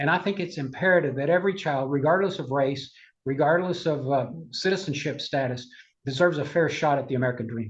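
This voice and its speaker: A very fast, somewhat breathy man with a fairly high pitch and ordinary pitch variation. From Cuba. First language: Spanish. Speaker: conservative political advocate. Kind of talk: interview.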